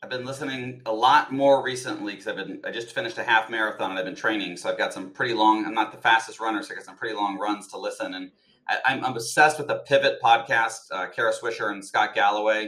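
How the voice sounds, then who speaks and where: A man with an American accent, very fast pace, and big swings in loudness. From Colorado. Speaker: HR executive and executive coach. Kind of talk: podcast interview.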